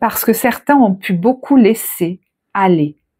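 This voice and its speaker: A soft-spoken woman with a calm tone and medium pitch uses lively intonation. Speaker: tarot reader. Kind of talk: tarot reading. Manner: soft, calm; shifts from soft to firm.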